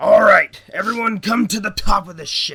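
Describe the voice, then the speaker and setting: A man does a gruff, put-on character voice, pitched high, at a moderate pace. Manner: commanding.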